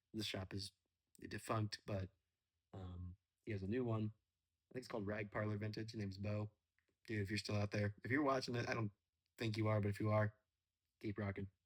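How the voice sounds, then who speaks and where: A man, somewhat breathy and relaxed in tone, at a fairly quick pace and fairly low pitch, monotone and flat, with long, frequent pauses and a dry, close sound with no echo. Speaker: storyteller. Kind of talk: casual chat; reading aloud. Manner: quiet.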